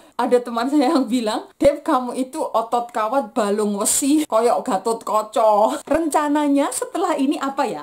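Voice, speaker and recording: Lively intonation at a fairly slow pace, in a Javanese accent. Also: woman. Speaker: vlogger, aerospace engineering graduate. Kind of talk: personal vlog testimony.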